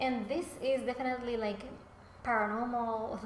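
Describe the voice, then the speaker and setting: A woman with a Spanish accent at a moderate pace, amid audible room echo and noticeable background noise. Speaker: author and book YouTuber. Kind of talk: casual vlog talk. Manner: casual, hesitant with fillers.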